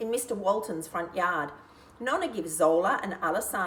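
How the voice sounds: What is heard is a natural reading voice.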